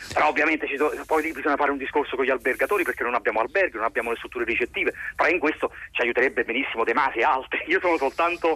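The recording is dry and close, without any echo. Words come at a very fast pace. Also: man, very even loudness. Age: 30s. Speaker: actor and playwright. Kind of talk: radio interview. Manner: halting.

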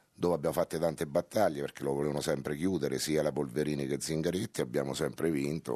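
Very deep and low, a man's voice has a dark, mellow tone and fairly even intonation at a fairly quick pace. The sound is dry and close, with no echo. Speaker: football coach and mayor. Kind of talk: radio interview. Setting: radio studio.

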